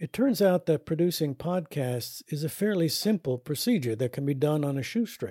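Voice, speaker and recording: With a dark, mellow tone and a somewhat breathy, fairly high voice, a man talks at a moderate pace with lively intonation and hardly any pauses, the sound dry and close with no echo on a very clean recording with a silent background. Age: 70s. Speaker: podcast host and educator on caregiving. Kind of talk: scripted narration.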